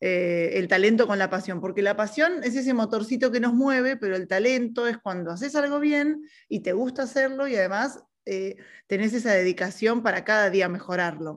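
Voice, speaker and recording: A woman with a fairly high pitch has a normal speaking voice and lively intonation. She talks at a moderate pace over a quiet background. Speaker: podcast co-host. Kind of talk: casual chat.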